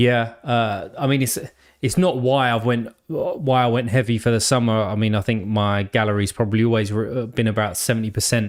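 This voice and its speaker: A man speaks at a moderate pace with a medium pitch and fairly even intonation, in an English accent. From England. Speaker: sports card game streamer. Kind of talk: live stream chat. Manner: casual, filler-heavy.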